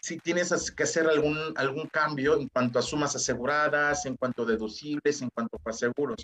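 In a normal speaking voice, a man talks at a moderate pace with a fairly high pitch and ordinary pitch variation, the sound dry and close with no echo. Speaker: insurance agent. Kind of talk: interview.

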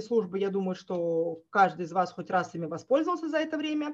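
The pace runs fairly quick. Pitch rises and falls very widely. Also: woman. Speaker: project manager and trainer. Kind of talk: webinar presentation. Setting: online webinar with screen sharing. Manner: hesitant, with filler sounds.

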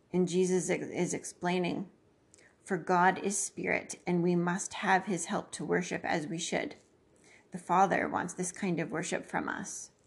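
A somewhat breathy voice with a warm, dramatic tone, flat and monotone, fairly slow, over a quiet background. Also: woman, fairly low pitch for a woman. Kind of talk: devotional message with Bible reading and prayer. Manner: warm, earnest, measured; reads the scripture dialogue in a dramatic, storytelling way; reverent.

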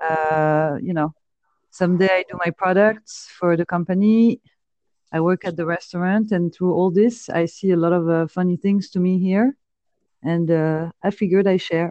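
In a dry, close sound with no echo, a woman with a French accent speaks at a moderate pace in a fairly low pitch, with a dark, mellow tone and fairly even intonation. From France. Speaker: podcaster. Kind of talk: casual chat. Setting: phone call.

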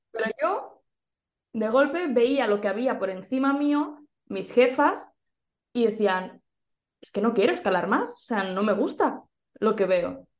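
A woman with a Spanish accent speaks at a fairly slow pace and a fairly high pitch. Her delivery has long, frequent pauses and big swings in loudness. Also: lively intonation. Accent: Peninsular Spanish. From Spain. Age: young. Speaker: entrepreneurship and social media coach. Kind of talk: interview.

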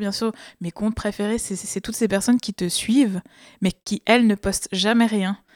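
Talking at a fairly slow pace, a woman with an unremarkable speaking voice sounds dry and close, with no echo. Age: 30s. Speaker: activist. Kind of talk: casual chat.

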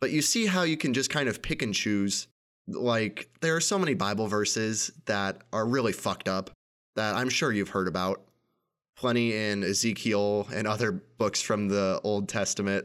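In a plain, everyday voice with an American accent, a man speaks at a moderate pace and fairly low pitch, with ordinary pitch variation, very even loudness, and a very clean recording over a silent background. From United States. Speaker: podcast host. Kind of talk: personal monologue.

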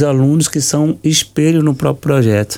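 A man speaks at a moderate pace. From Brazil, Salvador, Bahia. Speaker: capoeira teacher. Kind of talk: radio interview.

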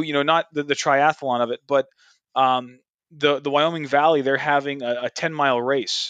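An ordinary speaking voice from a man at a fairly high pitch, with ordinary pitch variation and a moderate pace, comes through over a quiet background with a dry, close sound and no echo. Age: 30s. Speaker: podcast host. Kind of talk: casual chat.

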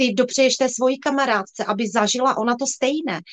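This voice moves at a fairly quick pace with ordinary variation in pitch. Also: woman. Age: 40s. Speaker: sales director in direct-selling cosmetics, former nurse. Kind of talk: livestream interview.

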